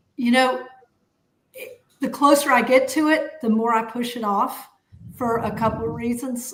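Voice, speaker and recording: Speaking fairly slowly in a Southern US accent, a woman uses ordinary pitch variation. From US South, Atlanta. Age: 60s. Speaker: podcast co-host, accountant. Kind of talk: casual chat. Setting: live stream.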